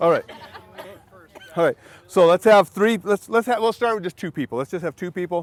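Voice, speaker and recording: A man's loud, animated voice, high in pitch with ordinary pitch variation, at a fairly quick pace broken by long, frequent pauses, in a dry sound with no echo. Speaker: safety trainer. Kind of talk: hands-on training session. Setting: outdoors.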